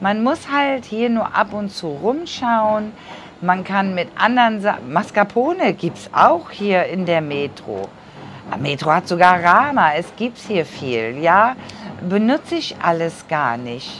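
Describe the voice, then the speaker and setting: A woman speaks at a very slow pace with very wide pitch swings and big swings in loudness, over light background noise. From Germany. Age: 50s. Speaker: vlogger; emigrant vlogger. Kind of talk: casual vlog monologue; casual vlog chat. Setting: sitting cross-legged on camera. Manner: chatty, with many fillers. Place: home room. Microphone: lapel.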